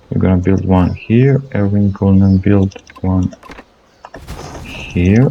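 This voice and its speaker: Through noticeable background noise, a man with a non-native accent talks very slowly at a fairly low pitch, with fairly even intonation and long, frequent pauses. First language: not English. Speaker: gaming channel host. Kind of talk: gameplay commentary. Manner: halting, many fillers and repetitions.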